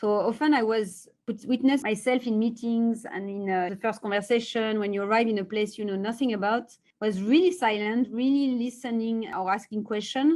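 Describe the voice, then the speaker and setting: A woman with a strong French accent, fairly high pitch, ordinary pitch variation and a moderate pace, against a quiet background. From France. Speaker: tech executive. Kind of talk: interview. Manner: halting, many fillers.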